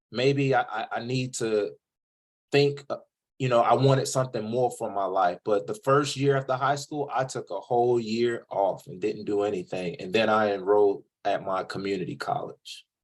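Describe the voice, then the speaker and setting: A man with an American accent speaks at a moderate pace, his pitch varying in an ordinary way. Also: medium pitch for a man. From US South, coastal North Carolina (Jacksonville). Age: 30s. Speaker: podcast host, author on college vs trade. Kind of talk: interview. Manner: casual, conversational.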